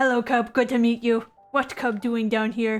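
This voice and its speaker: A put-on character voice at a moderate pace, delivered in a flat monotone, with faint music in the background. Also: woman. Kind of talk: broken, third-person speech. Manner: friendly.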